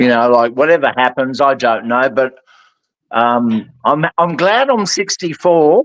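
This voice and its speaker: An unremarkable speaking voice from a man, medium in pitch with ordinary pitch variation, very even in loudness and fairly slow in pace. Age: 60s. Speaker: guest. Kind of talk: casual chat.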